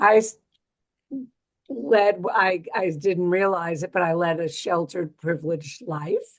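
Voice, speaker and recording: A woman's fairly low voice in a New York accent, at a very slow pace. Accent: New York accent, still present. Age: 70s. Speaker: retired physical therapist, former association chair. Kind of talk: panel discussion, personal history.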